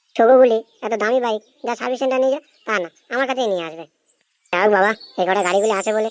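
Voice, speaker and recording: This cartoonish character voice sounds female and rumbles at a fairly high pitch, with fairly even intonation and a dry, close sound with no echo. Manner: grumbling, coarse.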